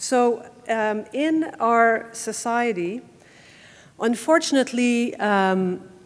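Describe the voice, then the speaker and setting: A woman's voice with a Quebec accent and ordinary pitch variation. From Quebec City. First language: French. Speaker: family law lawyer. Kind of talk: conference talk. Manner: halting, many filler words.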